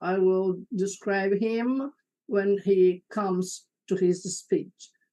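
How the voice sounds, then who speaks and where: A woman speaks in a dark, mellow tone. Her pace is very slow and her intonation fairly even. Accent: Portuguese. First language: Portuguese. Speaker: moderator. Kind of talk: panel moderation.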